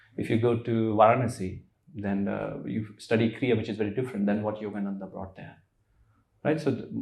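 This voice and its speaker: Somewhat breathy speech at a moderate pace with fairly even intonation. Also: man. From India. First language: Hindi. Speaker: spiritual teacher. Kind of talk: interview.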